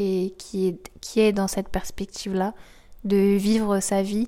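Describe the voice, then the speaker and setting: A woman speaks at a medium pitch in a dark, mellow tone, with monotone, flat intonation and a very slow pace. The recording is very clean, with a silent background. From Normandy, France. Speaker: student. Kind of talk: interview. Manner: halting.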